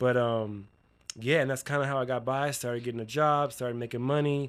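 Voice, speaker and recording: An unremarkable speaking voice with an American accent and fairly even intonation, on a very clean recording with a silent background. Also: man. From Florida (Miami), later Utah. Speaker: hairstylist and educator. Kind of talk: casual chat.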